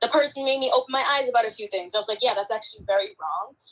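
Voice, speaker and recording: A woman with a Boston accent at a very fast pace. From Boston, US. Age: 20s. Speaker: caller. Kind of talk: casual chat.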